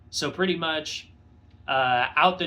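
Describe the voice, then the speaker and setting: Music plays in the background as a man talks at a fairly slow pace with audible room echo. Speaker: motorcycle vlogger. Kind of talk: casual vlog review. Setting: home garage. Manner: halting, many fillers. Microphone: phone recording.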